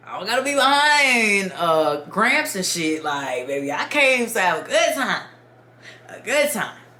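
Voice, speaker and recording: Over noticeable background noise and audible room echo, a woman speaks at a fairly high pitch and a fairly slow pace. Her tone is animated, with very wide pitch swings and big swings in loudness. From Dominican Republic. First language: Spanish. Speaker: YouTuber storyteller. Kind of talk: casual storytime.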